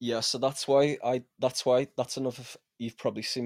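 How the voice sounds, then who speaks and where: Recorded very cleanly against a silent background, a man with a Liverpool accent speaks with a dry, close sound and no echo. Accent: Scouse. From Liverpool, England. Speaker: music producer. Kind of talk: casual interview.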